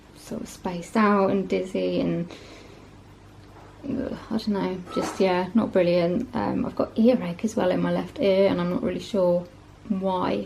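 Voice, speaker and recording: Speaking at a fairly slow pace with a medium pitch, a woman is heard over noticeable background noise. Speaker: vlogger. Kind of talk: casual vlog talk to camera. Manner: hesitant, many fillers.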